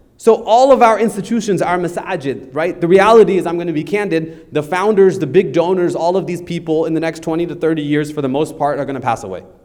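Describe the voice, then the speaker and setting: Loud, high-pitched male speech at a very fast pace with hardly any pauses and ordinary pitch variation, over noticeable background noise. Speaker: lawyer teaching estate planning. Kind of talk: lecture.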